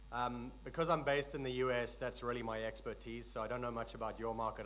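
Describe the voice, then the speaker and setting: A man speaks with audible room echo around his voice. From South Africa. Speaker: tech company executive, conference speaker. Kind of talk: conference keynote talk. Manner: relaxed, frequent fillers.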